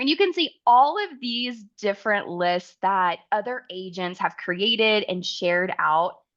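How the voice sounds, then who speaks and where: In an Oklahoma accent, a woman with a fairly high pitch speaks at a fairly slow pace, her pitch swinging very widely over a quiet background. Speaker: travel advisor and software account manager; software trainer. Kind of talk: webinar tutorial. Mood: friendly, enthusiastic.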